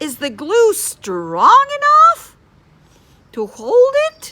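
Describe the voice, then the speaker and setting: Using a put-on character voice, a woman talks at an extremely high pitch and a very slow pace. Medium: read story. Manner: speaking in unison.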